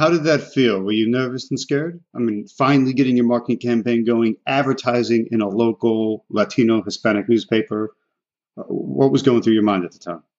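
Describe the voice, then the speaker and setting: Music plays in the background as a man talks at a fairly quick pace. His pitch is medium, with ordinary variation, and he has an American accent. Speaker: podcast host and real estate mentor. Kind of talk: interview.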